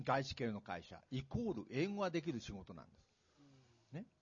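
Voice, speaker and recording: A man is speaking. His pitch swings very widely. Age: 60s. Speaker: retired executive and author. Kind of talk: public talk event interview. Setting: stage with audience.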